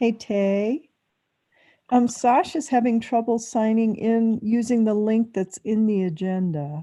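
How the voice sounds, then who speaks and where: A woman's fairly high, dark and mellow voice at a fairly slow pace, with ordinary pitch variation. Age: 60s. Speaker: town board meeting chair. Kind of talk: casual chat before a public meeting.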